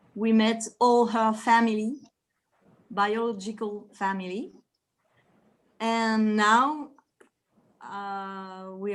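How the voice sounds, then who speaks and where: A woman with a French accent talks at a very slow pace, her fairly high pitch showing ordinary variation. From France. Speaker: relative. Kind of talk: casual chat. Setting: video call. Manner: halting.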